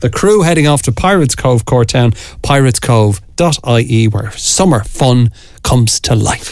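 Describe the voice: Someone is doing plain reading aloud. The pitch rises and falls in a lively way.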